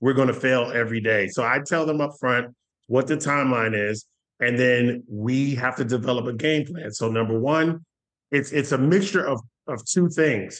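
This is a plain, everyday voice with ordinary pitch variation. It moves at a moderate pace. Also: man, medium pitch for a man. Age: 40s. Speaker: payment industry sales executive. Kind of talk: interview.

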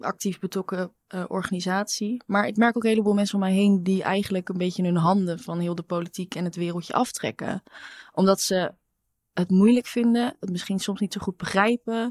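A woman with an unremarkable speaking voice talks at a fairly quick pace and medium pitch, with fairly even intonation. The sound is dry and close with no echo, on a very clean recording with a silent background. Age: 20s. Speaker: intern. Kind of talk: casual chat.

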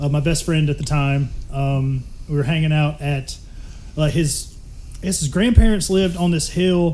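Fairly slow, fairly even speech from a man with a dark, mellow, somewhat breathy tone. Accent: Southern US. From Mississippi. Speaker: podcast guest. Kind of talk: casual chat.

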